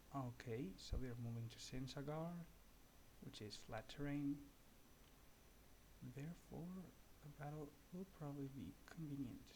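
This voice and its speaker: A man's somewhat breathy voice, fairly high in pitch with a dark, mellow tone, moves at a moderate pace with long, frequent pauses. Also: ordinary pitch variation. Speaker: gaming youtuber. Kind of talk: gameplay tutorial commentary. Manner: soft-spoken; halting.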